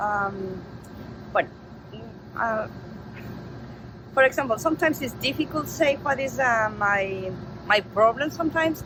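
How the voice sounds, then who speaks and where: A woman with a Spanish accent talks at a moderate pace, her fairly high voice carrying lively intonation. She leaves long, frequent pauses over noticeable background noise. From Mexico. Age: 50s. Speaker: interviewee. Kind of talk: interview. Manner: halting.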